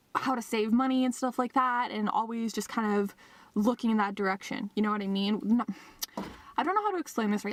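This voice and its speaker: An animated woman with a fairly high pitch speaks at a very fast pace. There is noticeable background noise. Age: 20s. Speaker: vlogger. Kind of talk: casual vlog monologue. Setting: in a car. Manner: animated, chatty.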